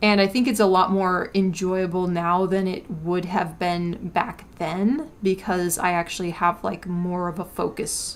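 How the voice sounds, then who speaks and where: A woman's fairly low pitch sits over music in the background. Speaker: artist livestreamer. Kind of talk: casual chat while drawing. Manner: hesitant, many fillers. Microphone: records quiet, low gain.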